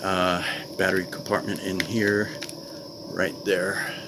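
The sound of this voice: Background noise is clearly audible. The speech is slow, with little pitch movement. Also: man, low pitch for a man.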